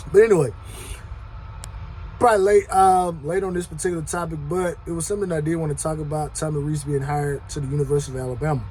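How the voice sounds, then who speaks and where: Over noticeable background noise, a man speaks very fast in a fairly high voice with ordinary pitch variation. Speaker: sports commentary youtuber. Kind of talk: casual monologue. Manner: loud.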